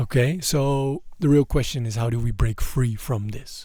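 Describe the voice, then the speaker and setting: Somewhat breathy, with a dark, mellow tone, a man speaks at a moderate pace in a very clean recording with a silent background. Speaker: mindset coach. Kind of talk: motivational monologue. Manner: halting, many repetitions.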